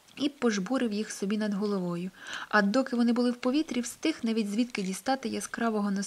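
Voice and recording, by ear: A text read aloud in a natural voice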